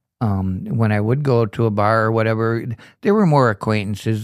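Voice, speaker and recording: A man speaks at a medium pitch and a fairly quick pace, with ordinary pitch variation. The recording is very clean, with a silent background. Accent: Upper Midwest US. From Kenosha, Wisconsin. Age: 60s. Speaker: recovering alcoholic in treatment. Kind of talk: testimony.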